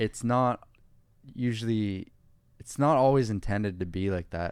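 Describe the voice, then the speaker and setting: A man speaks at a moderate pace with a fairly low pitch. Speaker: podcast co-host. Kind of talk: casual chat. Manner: monotone.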